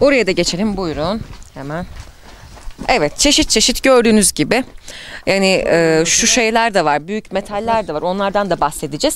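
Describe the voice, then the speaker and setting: Lively intonation and an animated tone mark this woman's speech at a moderate pace. The sound is dry with no echo, over light background noise. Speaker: reporter. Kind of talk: interview. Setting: outdoors. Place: street. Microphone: handheld.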